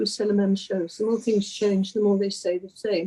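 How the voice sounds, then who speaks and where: The speaker is a woman. She has an English accent. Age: 80s+. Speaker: discussion group member. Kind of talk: group discussion.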